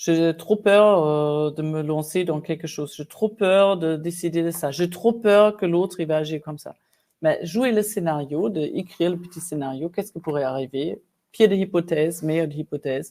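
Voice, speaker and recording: A woman's fairly low voice with a dark, mellow tone, ordinary pitch variation and a moderate pace. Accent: German. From Germany. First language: German (speaking French). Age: 50s. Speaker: executive coach. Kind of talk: interview conversation.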